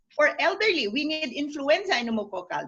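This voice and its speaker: A woman's high-pitched voice with a bright, sharp tone. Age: 70s. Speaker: medical expert. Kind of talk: webinar panel discussion.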